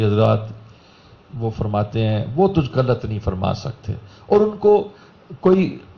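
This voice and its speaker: The voice is somewhat breathy. There is audible room echo. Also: man. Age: 60s. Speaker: religious speaker. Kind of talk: sermon.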